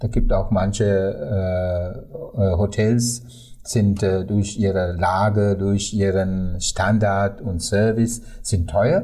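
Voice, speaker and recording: With a Sri Lankan accent, a man speaks very slowly in a dark, mellow, somewhat breathy voice, his intonation fairly even and his loudness very even, with audible room echo. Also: fairly low pitch for a man. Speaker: tour guide. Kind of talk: interview. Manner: halting with many fillers.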